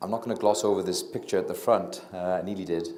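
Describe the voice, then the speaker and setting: Audible room echo surrounds a man talking with a Welsh accent. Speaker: doctor and diabetes researcher. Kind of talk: public lecture. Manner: quiet, low talker; hesitant, many fillers.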